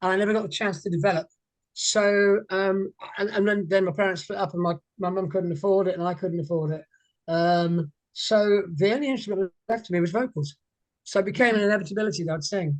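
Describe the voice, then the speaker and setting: This voice has an English accent and ordinary pitch variation. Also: man, high pitch for a man, fairly quick pace. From England, moved around north and south. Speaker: singer. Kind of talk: interview. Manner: halting.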